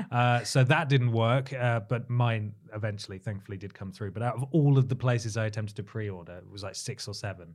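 A man with an English accent at medium pitch, fairly quick pace, hardly any pauses, ordinary pitch variation and big swings in loudness, in a very clean recording with a silent background. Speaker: podcast host. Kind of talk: casual chat.

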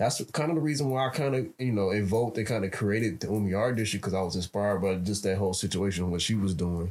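Speaking at a very fast pace with hardly any pauses, a man with an American accent keeps very even loudness, a fairly low pitch and ordinary pitch variation. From Chicago, South Side. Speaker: podcast co-host. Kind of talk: casual chat.

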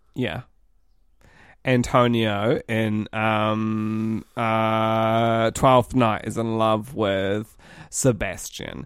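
Speaking in a New Zealand accent, the voice moves at a very slow pace with monotone, flat intonation. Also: man, medium pitch for a man. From New Zealand, Auckland. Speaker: podcast co-host. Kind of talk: casual chat.

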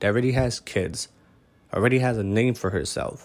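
A man speaks at a moderate pace with an animated tone and a medium pitch. The recording is very clean, with a silent background. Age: 30s. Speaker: podcast host. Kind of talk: casual solo monologue.

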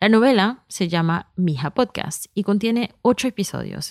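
A woman speaks in a plain, everyday voice at a medium pitch, with lively intonation. The recording is very clean and dry, close with no echo against a silent background. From US, New York, Colombian immigrant family. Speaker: podcast creator and executive producer. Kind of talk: scripted narration.

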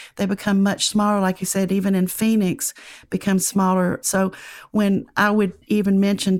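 In a very clean recording with a silent background, a woman speaks at a medium pitch in a Southern US accent. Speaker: professor. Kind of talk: casual interview chat, storytelling.

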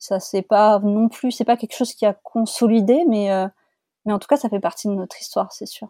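At a fairly high pitch with ordinary variation, a woman talks at a moderate pace with big swings in loudness, the sound dry and close with no echo in a very clean recording with a silent background. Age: 30s. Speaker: podcast guest sharing fertility journey. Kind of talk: testimony. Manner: halting.

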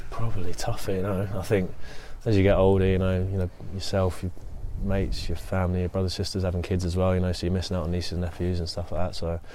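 The voice has a dark, mellow tone and a flat, monotone delivery at a very fast pace. There is audible room echo. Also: man, very deep, low pitch for a man. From southern England. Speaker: professional footballer. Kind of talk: interview.

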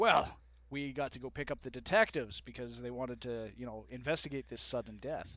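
A man with an ordinary speaking voice talks at a fairly quick pace in a medium pitch, in a Canadian accent, with ordinary pitch variation. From Canada (Winnipeg). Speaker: podcast guest. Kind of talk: casual chat.

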